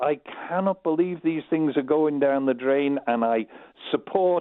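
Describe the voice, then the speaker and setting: A man speaks with a Manx accent. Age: 70s. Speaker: caller. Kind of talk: phone-in call.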